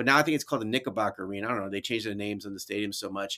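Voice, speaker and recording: A man speaks with a New York accent. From New York (Brooklyn, then upstate Albany). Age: 50s. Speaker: educator and author. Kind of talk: casual interview.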